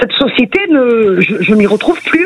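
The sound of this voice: A woman speaks at a moderate pace with a fairly high pitch and a slightly husky edge. Her intonation is lively.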